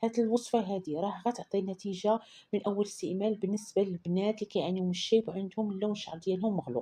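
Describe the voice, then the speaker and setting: A woman with a Moroccan accent speaks fairly quickly with hardly any pauses, her somewhat breathy voice at medium pitch having a dark, mellow tone and ordinary pitch variation. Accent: Moroccan Darija. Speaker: beauty recipe vlogger. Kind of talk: tutorial. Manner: casual, repetitive.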